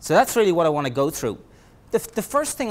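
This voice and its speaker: A man is speaking. He has an Irish accent. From Ireland. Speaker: project management trainer. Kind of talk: lecture. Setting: presentation room with audience. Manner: halting, many fillers and repeats.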